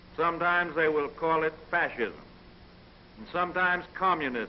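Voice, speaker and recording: A man with an American accent and a high-pitched voice talks over noticeable background noise. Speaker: US president giving a radio address. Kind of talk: political radio speech, fireside chat. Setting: 1930s radio or newsreel recording, vintage sound. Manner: measured, formal, deliberate.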